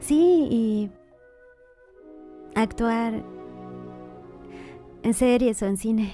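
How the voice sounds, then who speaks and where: A woman speaks at a very slow pace with long, frequent pauses. Her pitch is fairly high with ordinary variation, and music plays in the background. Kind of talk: promo dialogue, scripted advertisement for a dubbing school.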